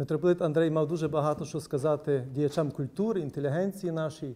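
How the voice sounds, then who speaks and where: A man talks in a dark, mellow tone with fairly even intonation. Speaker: panelist. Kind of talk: formal round-table speech. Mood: calm, reflective. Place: meeting room.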